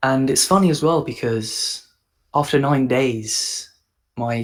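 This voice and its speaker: A man with a medium pitch speaks at a very slow pace with ordinary pitch variation. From England. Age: 20s. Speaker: copywriter. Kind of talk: casual chat. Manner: halting.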